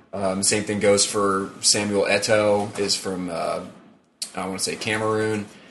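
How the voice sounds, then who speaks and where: Room echo can be heard around a monotone, flat delivery. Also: man, fairly low pitch for a man, fairly slow pace. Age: 20s. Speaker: sports podcast co-host. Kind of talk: casual chat. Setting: home recording with friends present.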